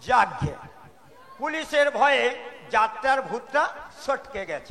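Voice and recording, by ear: Putting on a character voice, a man speaks fairly slowly at an extremely high pitch, with big pitch swings and a bright, sharp tone.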